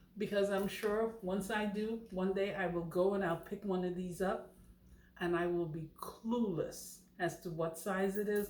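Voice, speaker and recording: In a room with audible echo and noticeable background noise, a woman at medium pitch speaks fairly slowly with monotone, flat intonation. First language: not English. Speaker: knitting channel host. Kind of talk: tutorial. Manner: casual, chatty.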